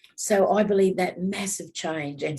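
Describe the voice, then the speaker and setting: A woman speaks at a moderate pace with fairly even intonation. Vocal fry runs through her voice. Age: 70s. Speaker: elder activist. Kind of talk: panel discussion.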